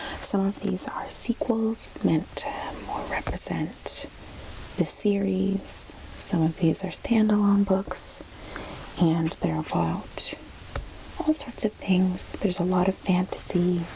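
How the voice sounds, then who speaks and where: Soft-spoken, the voice moves at a very slow pace against noticeable background noise. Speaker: ASMR creator. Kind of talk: casual talk to camera.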